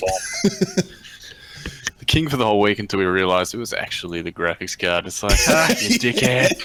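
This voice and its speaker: A man with an Australian accent at a fairly quick pace, long frequent pauses, big swings in loudness and noticeable background noise. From Melbourne, Australia. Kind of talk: casual podcast banter.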